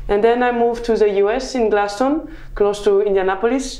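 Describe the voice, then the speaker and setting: A woman with a French accent, dark and mellow in tone, with fairly even intonation amid audible room echo. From southern France. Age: 20s. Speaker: mechanical engineer. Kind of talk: interview. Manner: halting.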